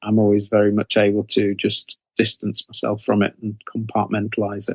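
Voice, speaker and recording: A man in an English accent speaks at a moderate pace, pitched fairly low. His intonation is monotone and flat, and the sound is dry and close with no echo. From England. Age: 60s. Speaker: horror author. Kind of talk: interview. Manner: halting, many fillers.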